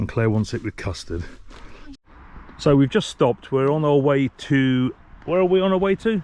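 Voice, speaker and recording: With an English accent, a man speaks at a moderate pace in a medium pitch and a dark, mellow tone. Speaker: travel vlogger. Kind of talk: casual vlog narration.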